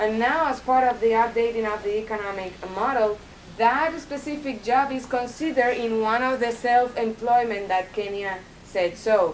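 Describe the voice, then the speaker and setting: Amid noticeable background noise, a woman with a Spanish accent speaks at a moderate pace and a fairly high pitch, with ordinary pitch variation. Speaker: Cuban institute representative. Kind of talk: Q&A answer at university talk. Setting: university lecture hall with audience. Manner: halting with many fillers.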